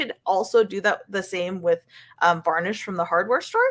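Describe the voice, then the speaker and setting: A woman talks at a moderate pace with a medium pitch. Her tone is bright and sharp. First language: not English. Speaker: figure painter and painting teacher. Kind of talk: casual interview chat.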